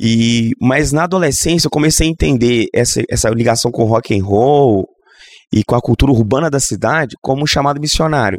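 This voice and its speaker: Using an ordinary speaking voice, a man of medium pitch talks at a moderate pace with ordinary pitch variation, in a dry, close sound with no echo. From Minas Gerais, Brazil (Governador Valadares). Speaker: Anglican bishop and pastor. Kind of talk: casual interview conversation.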